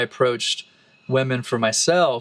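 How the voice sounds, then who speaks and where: A man with a Texan accent speaks at a moderate pace in a medium-pitched voice. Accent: Texan American English. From Texas, Austin. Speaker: musician and relationship podcast co-host. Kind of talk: casual chat. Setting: bathtub in a forest retreat.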